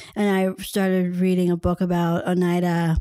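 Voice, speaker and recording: In an American accent, a woman talks in a normal speaking voice at a fairly low pitch, captured in a very clean recording with a silent background. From US. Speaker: fashion designer and writer. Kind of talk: casual chat.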